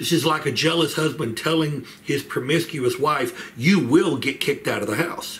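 This man talks at a moderate pace. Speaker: church Bible study teacher. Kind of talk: Bible study lecture. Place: home room. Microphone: webcam.

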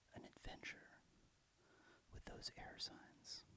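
A man whispers. He speaks at a very slow pace. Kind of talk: ASMR reading about astrology. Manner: soft-spoken.

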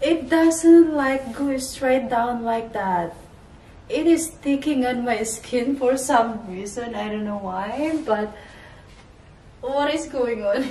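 Audible room echo surrounds a woman's high-pitched voice. She speaks at a very slow pace, with ordinary pitch variation. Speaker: fashion vlogger. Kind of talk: casual try-on haul chat. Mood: cheerful, laughing often. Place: home room. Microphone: camera far.

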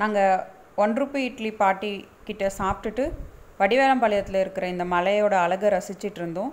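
With ordinary pitch variation, a woman talks in an unremarkable speaking voice at medium pitch. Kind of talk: travel vlog narration.

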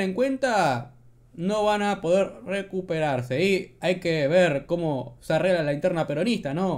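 A man talks in a high pitch with lively intonation. His pace is fairly slow. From Argentina. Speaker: political commentary youtuber. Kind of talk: casual commentary on news clips. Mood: sarcastic, mocking.

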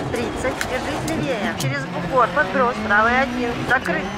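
With noticeable background noise behind her, a woman speaks at a moderate pace in a fairly high pitch with lively intonation. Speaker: rally co-driver voice. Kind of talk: rally pacenote calls.

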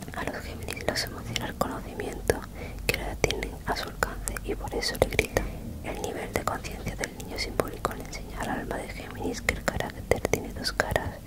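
Whispering, a woman talks at a fairly quick pace. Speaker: ASMR reader. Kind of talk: soft reading of an astrology text. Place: home room. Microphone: handheld.

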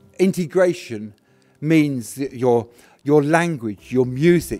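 A man speaks at a very slow pace, with faint music playing in the background. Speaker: local politician giving a speech. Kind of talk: speech. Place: hall. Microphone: podium.

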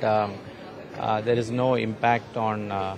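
A man speaks with music in the background. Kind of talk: interview answer. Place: hall. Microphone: handheld.

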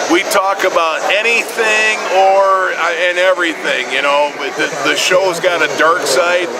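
Loud background noise surrounds a man speaking. He goes at a fairly slow pace with ordinary pitch variation. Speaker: radio host being interviewed. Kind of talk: interview answer. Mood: jovial, boastful. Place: hall.

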